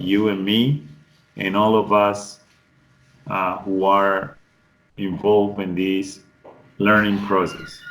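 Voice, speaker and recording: Amid audible room echo, a man with a fairly low voice and fairly even intonation speaks very slowly, with long, frequent pauses. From Colombian Pacific coast, Cauca. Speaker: English tutor. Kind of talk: online class introduction. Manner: halting, with restarts.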